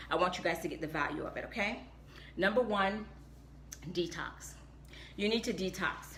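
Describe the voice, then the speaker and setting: The voice has an animated, bright, sharp tone with ordinary pitch variation. Audible room echo surrounds it. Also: woman. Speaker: health and wellness vlogger. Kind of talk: live stream talk.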